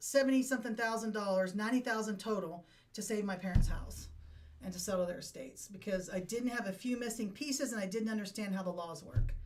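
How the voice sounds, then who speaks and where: A woman's somewhat breathy, fairly high-pitched voice with an American accent, in audible room echo. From Appalachian Ohio. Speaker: veteran and estate planning helper. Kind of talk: interview. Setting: studio.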